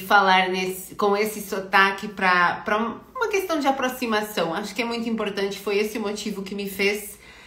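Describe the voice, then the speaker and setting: Room echo is audible as a woman talks at medium pitch with fairly even intonation. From Portugal. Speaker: career consultant. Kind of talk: live stream talk. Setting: online live stream. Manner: hesitant, many filler words.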